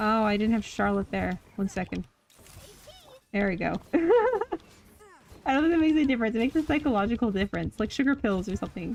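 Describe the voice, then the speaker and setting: Fairly high and fairly quick, a woman's unremarkable speaking voice comes with a Canadian accent. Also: lively intonation. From central Canada. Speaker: video game streamer. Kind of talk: live stream gameplay commentary. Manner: casual, self-correcting. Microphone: mic level reads really quiet.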